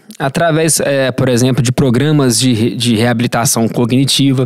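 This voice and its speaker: A man is talking in a normal speaking voice. His pitch shows ordinary variation. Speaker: health sciences professor. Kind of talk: podcast interview answer.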